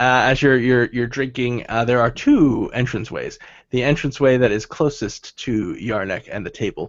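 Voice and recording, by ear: The text is read out in a natural voice, its intonation staying fairly even.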